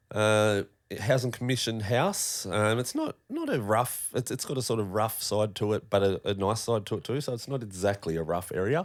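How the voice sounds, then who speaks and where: Here a man speaks with an Australian accent at a fairly low pitch. His pace is moderate and his pitch variation ordinary, on a very clean recording with a silent background. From Tasmania, Australia (northern suburbs of Hobart). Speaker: podcast guest, former metal fabricator. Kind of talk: casual chat, personal story.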